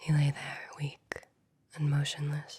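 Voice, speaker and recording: A soft-spoken woman talks with a very deep, low pitch. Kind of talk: ASMR bedtime story reading.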